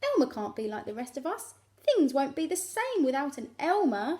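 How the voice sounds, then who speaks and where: A woman puts on a character voice pitched high. She keeps a moderate pace. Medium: read story.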